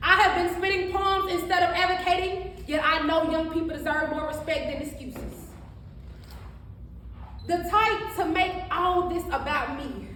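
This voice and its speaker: A woman's raised, projected voice, bright and sharp in tone, at extremely high pitch, moderate pace and fairly even intonation. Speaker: spoken word poet. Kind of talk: spoken word poetry performance. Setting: live event, no microphone. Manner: emotional.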